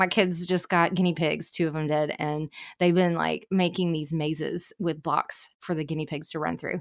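In a very clean recording with a silent background, a woman talks in a fairly low pitch with a flat, monotone delivery. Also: moderate pace. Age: 40s. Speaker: home organizer. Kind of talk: casual chat. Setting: studio.

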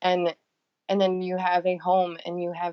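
The speaker is a woman with an American accent. Her pitch is fairly low. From US Midwest, northern Michigan. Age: 30s. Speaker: blogger. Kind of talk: casual chat. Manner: halting.

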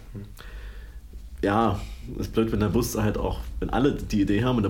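Audible room echo and noticeable background noise surround a man speaking at a fairly quick pace. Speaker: podcast co-host. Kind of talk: casual chat.

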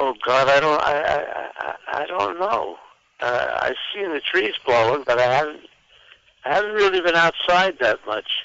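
A normal speaking voice from a man, fairly high in pitch, with lively intonation at a moderate pace. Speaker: caller. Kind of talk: casual chat. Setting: phone call.

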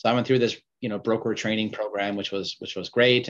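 Against a quiet background, a man talks with fairly even intonation. His is an ordinary speaking voice, fairly low in pitch. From Vancouver, western Canada. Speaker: mining company CEO. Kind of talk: interview.

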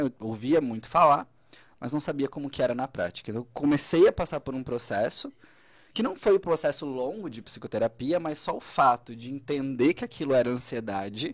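Here is a man with an ordinary speaking voice, a fairly high pitch and lively intonation at a moderate pace. The recording is very clean with a silent background, and the sound is dry and close with no echo. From Santa Catarina, southern Brazil (Braço do Norte). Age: 30s. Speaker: psychologist. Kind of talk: casual interview. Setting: radio studio, live.

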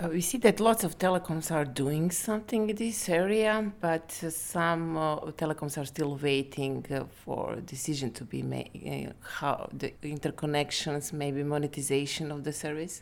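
A woman speaks with a very deep, low pitch. She barely pauses at all. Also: ordinary pitch variation, moderate pace. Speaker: telecom company director. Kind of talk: interview.

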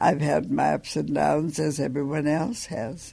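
An American accent comes through at a very slow pace. The background is quiet. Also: woman. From Montana. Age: 80s+. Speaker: university alumna and community elder. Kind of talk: reminiscing interview.

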